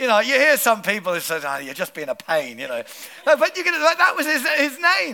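Noticeable background noise sits behind a man who talks at a fairly quick pace in an animated tone. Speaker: pastor. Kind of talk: sermon. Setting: church.

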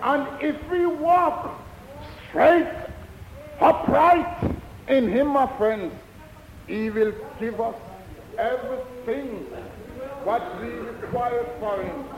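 Against noticeable background noise, a man talks at an extremely high pitch, leaving long, frequent pauses. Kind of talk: testimony. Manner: earnest, slow, rhythmic repeated 'my friends' address.

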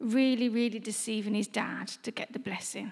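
Recorded very cleanly over a silent background, a woman speaks at high pitch with fairly even intonation. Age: 20s. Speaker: preacher. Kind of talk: sermon.

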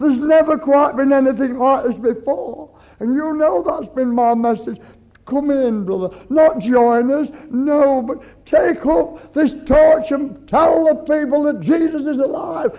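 Speaking at a fairly slow pace, a man with an extremely high pitch and ordinary pitch variation is heard over noticeable background noise. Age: 70s. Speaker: pastor. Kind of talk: sermon. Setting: church. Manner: animated.

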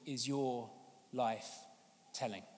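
A man with a London accent. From London, England. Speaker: evangelist and charity leader. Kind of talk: sermon. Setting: church service.

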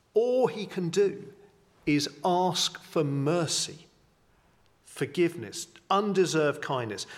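With an English accent, this man speaks in a high pitch. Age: 50s. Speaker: vicar. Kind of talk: sermon. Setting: church.

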